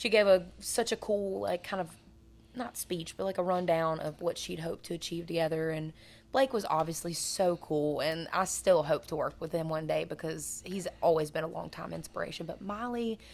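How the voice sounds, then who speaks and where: Vocal fry and ordinary pitch variation come through at a moderate pace on a very clean recording with a silent background. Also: woman, fairly low pitch for a woman. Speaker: country singer. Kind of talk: casual chat. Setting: cigar lounge.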